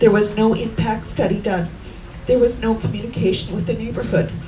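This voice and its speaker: A woman with a Canadian accent speaks at a moderate pace amid noticeable background noise and audible room echo. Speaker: local resident speaking at a rally. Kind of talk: rally speech. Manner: soft-spoken.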